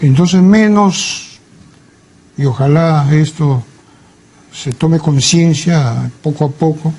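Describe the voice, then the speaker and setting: Very slow speech from a man with a fairly high pitch, ordinary pitch variation, and long, frequent pauses. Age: 70s. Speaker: psychiatrist and literary scholar. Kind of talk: interview.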